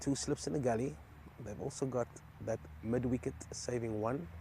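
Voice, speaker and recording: A man talks at a moderate pace with a medium pitch. Vocal fry runs through his voice, and his pitch varies in an ordinary way. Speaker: cricket commentator. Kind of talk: live commentary.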